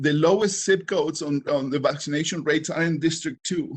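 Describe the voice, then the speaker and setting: A somewhat breathy man with a strong non-native accent, fairly high pitch, fairly even intonation and a fairly quick pace, over a quiet background. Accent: heavy foreign. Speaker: council vacancy applicant. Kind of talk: public speech. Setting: online public meeting. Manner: halting.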